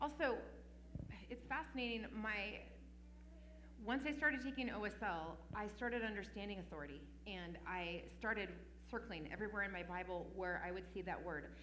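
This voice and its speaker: With lively intonation and long, frequent pauses, a woman speaks at a medium pitch amid audible room echo and noticeable background noise. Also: moderate pace. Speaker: parenting conference speaker. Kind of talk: conference Q&A talk. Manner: authoritative.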